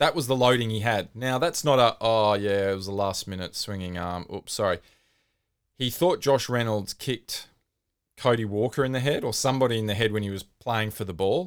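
The recording is very clean, with a silent background. A man with an Australian accent speaks at a medium pitch with ordinary pitch variation. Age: 40s. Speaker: podcast host. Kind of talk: casual chat.

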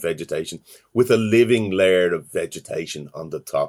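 At a moderate pace, a man talks with a Dublin accent. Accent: Dublin Irish. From Ireland, Dublin. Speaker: university lecturer in environmental science. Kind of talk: interview. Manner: halting, frequent fillers and repetitions.

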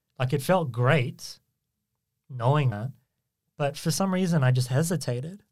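A man with a fairly high pitch speaks at a moderate pace, somewhat breathy, with ordinary pitch variation. Long, frequent pauses break up his speech. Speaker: podcast host. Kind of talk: casual chat. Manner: filler-heavy, self-conscious about ums.

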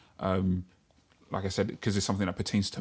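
A man's fairly low voice with a London accent and monotone, flat intonation on a very clean recording with a silent background. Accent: London multicultural English. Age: 30s. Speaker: podcast co-host. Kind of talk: casual chat.

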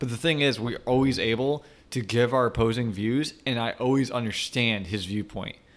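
A man's medium-pitched, a plain, everyday voice at a moderate pace, with fairly even intonation. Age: 20s. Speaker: podcast co-host, software developer. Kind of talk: casual chat. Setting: studio.

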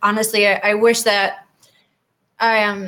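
A woman with an American accent talks at a moderate pace in a bright, sharp tone, her intonation fairly even. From Wisconsin. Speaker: nurse and army veteran. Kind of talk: interview.

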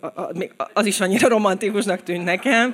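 The audio is very clean, with a silent background. A woman talks very fast, her pitch varying in an ordinary way. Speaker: writer and blogger. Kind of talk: live storytelling. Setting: stage with audience. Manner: halting.

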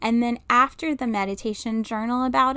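A woman with a normal speaking voice talks at a fairly high pitch, keeping her intonation fairly even. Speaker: intuitive medium and podcast host. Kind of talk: guided meditation. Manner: slow, soothing, calm and gentle, with long pauses and audible sighs; soft-spoken, hushed and reassuring.

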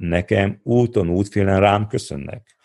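Fairly low pitch from a man with an unremarkable speaking voice, at a moderate pace. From Transylvania, Székelyudvarhely (Romania). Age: 50s. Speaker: entrepreneur and adventurer. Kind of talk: interview.

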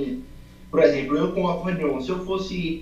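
Noticeable background noise runs through the clip. Audible room echo surrounds the voice. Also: man. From Brazil, Salvador (Bahia). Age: 20s. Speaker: amateur accordion student. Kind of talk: interview. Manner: casual, slangy.

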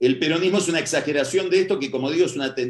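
A man speaks very fast, his pitch moving with ordinary variation. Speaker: political analyst. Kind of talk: lecture.

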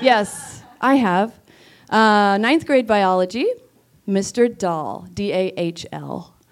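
A woman speaks at medium pitch with lively intonation. The recording is very clean and the background silent. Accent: American. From Bellingham, Washington. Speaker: teacher. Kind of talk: storytelling on stage. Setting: theater stage with audience.

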